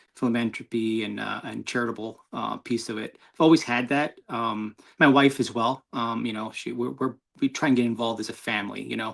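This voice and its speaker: In a New York accent, a man talks at medium pitch with vocal fry and a fairly quick pace. His intonation is fairly even, and the recording is very clean with a silent background. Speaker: motorcyclist. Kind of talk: interview. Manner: halting.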